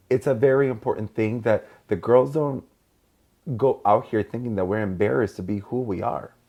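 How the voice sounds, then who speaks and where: Speaking at a fairly quick pace, a man with a Mexican accent uses a medium pitch. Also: ordinary pitch variation. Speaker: podcast host. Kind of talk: casual chat.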